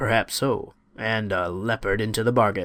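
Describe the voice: A raspy, growling put-on character voice from a man, medium in pitch, at a moderate pace.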